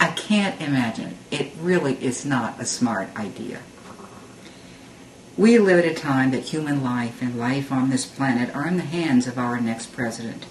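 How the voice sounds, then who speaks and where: Against noticeable background noise, a woman with a very deep, low pitch speaks at a moderate pace with lively intonation. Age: 60s. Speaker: mother. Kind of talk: political opinion talk to camera.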